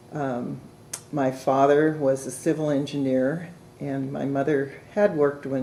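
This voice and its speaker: With a West Coast accent, a woman speaks at a fairly slow pace. Her pitch is very deep and low, and her intonation is fairly even. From Oregon (Portland, Salem). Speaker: retired law librarian. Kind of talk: oral history interview.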